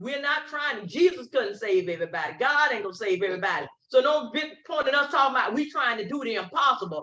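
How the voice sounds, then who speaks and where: Very fast and animated, a woman speaks in a high, bright, sharp tone. Her pitch swings very widely. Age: 70s. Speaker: community activist. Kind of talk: interview.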